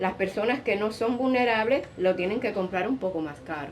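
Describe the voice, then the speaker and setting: Very fast, lively-toned speech from a woman over noticeable background noise. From central Cuba, Sancti Spiritus. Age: 60s. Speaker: retiree. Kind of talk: interview.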